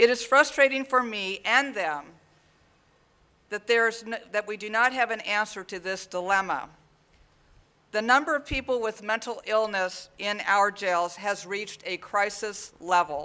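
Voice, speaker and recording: A man's raised, projected voice, high-pitched with a bright, sharp tone, at a fairly slow pace with ordinary pitch variation. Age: 60s. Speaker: sheriff. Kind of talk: prepared speech at press conference. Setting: press conference. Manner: formal.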